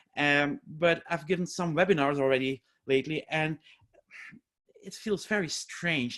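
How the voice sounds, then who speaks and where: A man with a Flemish accent, fairly high in pitch, at a fairly slow pace with long, frequent pauses and ordinary pitch variation. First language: Dutch (Flemish). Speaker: educational scientist and teacher trainer. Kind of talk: webinar lecture. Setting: online webinar.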